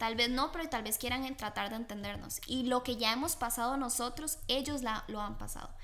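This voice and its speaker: Noticeable background noise and audible room echo around fairly quick speech. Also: woman. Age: young. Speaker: host's daughter. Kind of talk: religious family talk.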